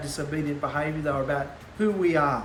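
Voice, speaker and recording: A loud voice at a moderate pace, with ordinary pitch variation, noticeable background noise and audible room echo. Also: man. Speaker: bible teacher. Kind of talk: bible teaching.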